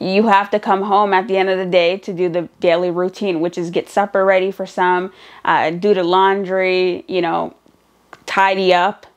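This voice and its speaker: A woman of medium pitch speaks at a moderate pace. Her intonation is monotone and flat. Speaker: vlogger and student single mother. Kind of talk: casual vlog talk.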